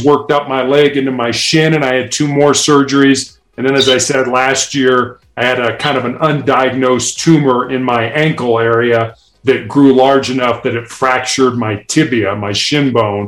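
A man's moderately paced voice with fairly even intonation. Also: hardly any pauses. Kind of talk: interview, conversational.

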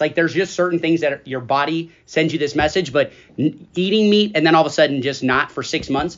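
With a plain, everyday voice, a man speaks at a fairly quick pace, his fairly high pitch showing ordinary variation. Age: 40s. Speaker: school podcast host, staff member. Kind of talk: casual chat.

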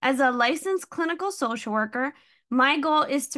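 A woman with a New Jersey accent and a bright, sharp tone, at a fairly slow pace with ordinary pitch variation, against a quiet background. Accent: New Jersey American. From New Jersey, Hudson County. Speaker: podcast host and social worker. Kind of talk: scripted monologue.

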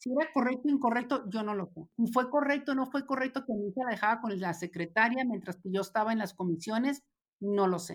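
A woman with an ordinary speaking voice talks at a fairly quick pace, fairly high in pitch and with lively intonation, in a very clean recording with a silent background. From Mexico, Ciudad Juárez. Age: 50s. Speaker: former federal legislator. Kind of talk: interview conversation.

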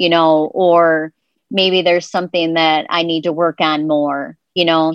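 The voice has fairly even intonation, with a dry, close sound with no echo and a quiet background. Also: woman. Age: 50s. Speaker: weight loss coaching client. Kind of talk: casual interview. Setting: Facebook live video call.

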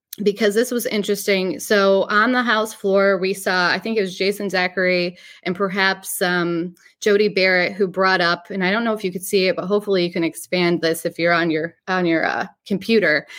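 Recorded very cleanly against a silent background, a woman with a northern US accent speaks at a fairly quick pace and medium pitch with fairly even intonation. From New York. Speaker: podcast host, local news reporter. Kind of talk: casual news commentary.

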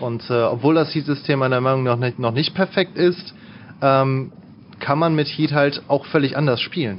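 This man has a plain, everyday voice, fairly high in pitch. He talks at a moderate pace with ordinary pitch variation. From Lower Rhine, western Germany (Mönchengladbach area). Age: 20s. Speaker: gamer, fighting game player. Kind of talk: casual interview chat.

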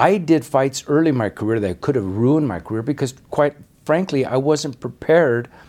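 This man has an ordinary speaking voice, talking at a moderate pace with medium pitch and lively intonation. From Denver, Colorado. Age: 60s. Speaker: retired boxing referee. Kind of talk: casual interview.

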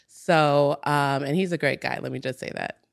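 A woman's very deep, low voice with vocal fry, fairly even intonation and a moderate pace, in a dry, close sound with no echo on a very clean recording with a silent background. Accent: American. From US Midwest, Minnesota. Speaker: entrepreneur. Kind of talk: casual chat.

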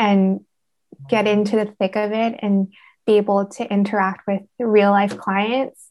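A woman's unremarkable speaking voice at medium pitch, with a Canadian accent and a fairly slow pace. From Canada, Vancouver. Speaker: speech therapy student. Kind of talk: interview.

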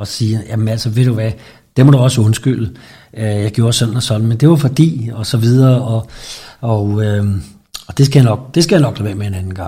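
A man's somewhat breathy voice, dark and mellow in tone, medium in pitch, with ordinary pitch variation at a moderate pace. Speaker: interviewee. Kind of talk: interview. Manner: halting.

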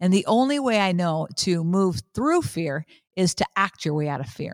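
A woman at a medium pitch and moderate pace, animated in tone with very wide pitch swings, in a very clean, dry, close recording with a silent background and no echo. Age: 50s. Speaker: podcast host and motivational speaker. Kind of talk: inspirational monologue.

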